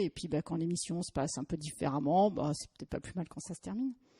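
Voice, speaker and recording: The voice, dark, mellow and somewhat breathy, rushes along at a very fast pace in a dry, close sound with no echo. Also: woman. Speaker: lawyer. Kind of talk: podcast interview. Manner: hesitant, searching for words.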